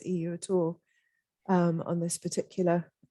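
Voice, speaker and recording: In a British accent, a woman speaks at a medium pitch with a dark, mellow tone, the sound dry and close with no echo. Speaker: policy analyst. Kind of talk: online panel discussion.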